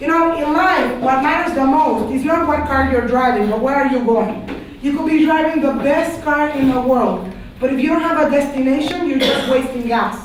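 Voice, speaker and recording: With a Panamanian accent, a high-pitched woman speaks at a moderate pace with ordinary pitch variation and very even loudness, amid audible room echo and noticeable background noise. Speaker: teacher. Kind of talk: classroom lecture. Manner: animated.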